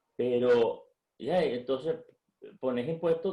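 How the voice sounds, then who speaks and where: A man speaks at a fairly slow pace. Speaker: economist and business leader. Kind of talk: interview. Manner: halting.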